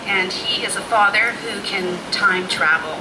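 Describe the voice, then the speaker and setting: With a Canadian accent, a soft-spoken woman talks amid noticeable background noise and audible room echo. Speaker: poet. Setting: restaurant reading event with audience and mic. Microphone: too quiet at first.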